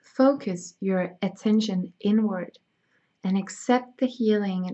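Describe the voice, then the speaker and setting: Someone with a Danish accent speaks at a very slow pace, somewhat breathy, with fairly even intonation. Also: woman. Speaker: spiritual healer. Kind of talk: reading aloud; guided meditation.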